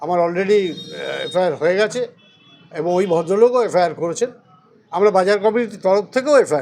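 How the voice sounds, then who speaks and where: Noticeable background noise surrounds a man speaking in a high pitch. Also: ordinary pitch variation. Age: 60s. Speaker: local politician. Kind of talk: press statement. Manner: animated.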